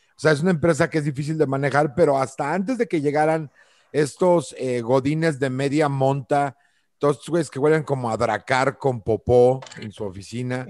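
Speaking with a Mexican accent in an animated tone, a man uses a fairly high pitch with ordinary pitch variation at a moderate pace, in a dry, close sound with no echo and a quiet background. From central Mexico. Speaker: podcast co-host. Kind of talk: casual chat.

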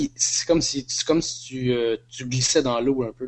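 Fairly quick in pace, a man speaks at a medium pitch. His intonation stays fairly even. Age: 30s. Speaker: podcast guest. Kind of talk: casual chat.

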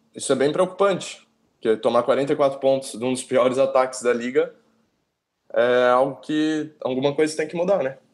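A man's fairly high-pitched voice at a moderate pace, with fairly even intonation and long, frequent pauses, in a very clean recording with a silent background. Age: 20s. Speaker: sports fan guest. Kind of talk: casual chat.

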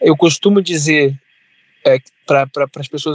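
The sound is dry and close with no echo as a man speaks at a fairly slow pace with ordinary pitch variation. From Brazil, Resende, Rio de Janeiro state. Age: 20s. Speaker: city councillor. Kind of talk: interview. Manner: halting, many fillers and repetitions.

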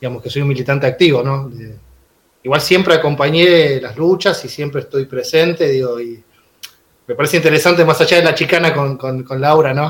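A fairly high-pitched man speaks with fairly even intonation and a somewhat breathy voice. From Buenos Aires suburbs, Argentina. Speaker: teacher and union activist. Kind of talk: casual chat. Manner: halting, repeats words.

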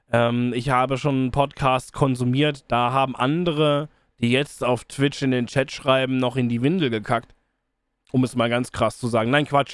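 In a monotone, flat delivery, a man talks at a moderate pace and a medium pitch. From Rhineland, Cologne area, Germany. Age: 30s. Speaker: podcast host and streamer. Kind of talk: casual solo monologue. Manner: casual, with frequent fillers.

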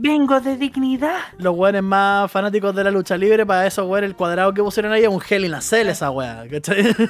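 Over noticeable background noise, a man talks at a fairly quick pace with hardly any pauses. His voice is high-pitched, with lively intonation. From Chile, Santiago. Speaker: podcast host. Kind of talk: casual chat.

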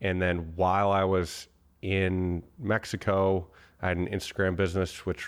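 A very deep, low male voice with an American accent, monotone and flat at a fairly slow pace, on a very clean recording with a silent background. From US Northeast, Boston. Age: 20s. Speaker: tech entrepreneur and investor. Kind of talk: casual chat interview. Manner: halting, frequent word repetitions.

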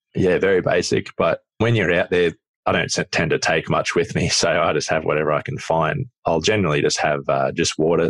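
In a dry, close sound with no echo, a man talks at a fairly quick pace with an Australian accent. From rural Australia, Queensland. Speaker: adventurer. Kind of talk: casual chat.

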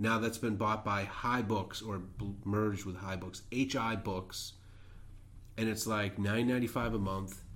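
Audible room echo surrounds a man's fairly low voice. He talks fairly slowly with monotone, flat intonation. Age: 40s. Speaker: podcast co-host. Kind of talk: casual chat.

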